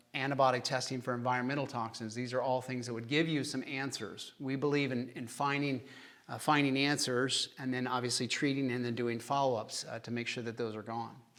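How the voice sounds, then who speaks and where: A man with an American accent speaks fairly quickly in a monotone, flat intonation at medium pitch, with audible room echo. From Kansas, US Midwest. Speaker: chiropractic doctor. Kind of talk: lecture with Q&A. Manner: casual, conversational.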